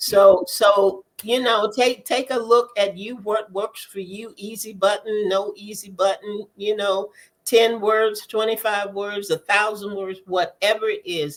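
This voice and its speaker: A woman's unremarkable speaking voice at medium pitch, fairly slow and with hardly any pauses, fairly even in intonation but with big swings in loudness. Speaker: podcast co-host, author. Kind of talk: casual panel chat.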